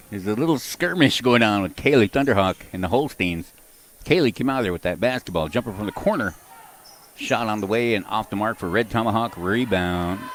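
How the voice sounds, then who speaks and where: Speaking at a fairly quick pace with lively intonation, a man with a fairly low voice is heard over noticeable background noise. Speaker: basketball play-by-play announcer. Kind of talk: live commentary. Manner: loud.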